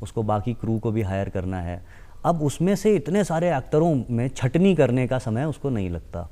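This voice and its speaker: Speaking at a fairly slow pace, a man with a dark, mellow tone lets his pitch swing very widely. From Lucknow, Uttar Pradesh, India; Uttar Pradesh. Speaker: actor and casting director; actor. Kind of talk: TV interview. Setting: TV studio. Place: studio. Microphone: lapel.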